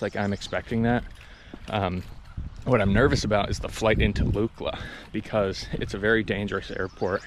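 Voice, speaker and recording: Noticeable background noise behind a man talking at a moderate pace with fairly even intonation. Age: 20s. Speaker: hiking vlogger. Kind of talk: casual vlog monologue. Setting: outdoors on a hiking trail.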